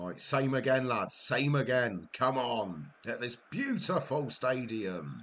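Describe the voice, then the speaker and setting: Over noticeable background noise, a man with a Welsh accent speaks very slowly at a medium pitch, with lively intonation and hardly any pauses. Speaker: gaming live streamer. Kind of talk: live gameplay commentary. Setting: live stream. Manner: quieter than usual, concentrating.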